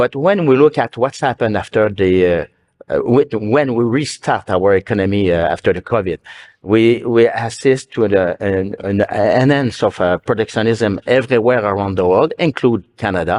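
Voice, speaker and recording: A man with a Quebec accent at a moderate pace, dry and close with no echo, over a quiet background. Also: medium pitch for a man, ordinary pitch variation. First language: French. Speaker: business association leader. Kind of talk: panel discussion. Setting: stage with audience. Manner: halting.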